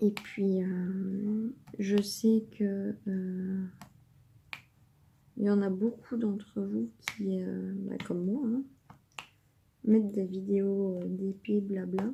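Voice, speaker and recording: Her tone is dark and mellow, somewhat breathy, with fairly even intonation. The woman speaks at a very slow pace with long, frequent pauses. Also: medium pitch for a woman. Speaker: diamond painting youtuber. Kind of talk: casual chat while crafting. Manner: calm, measured.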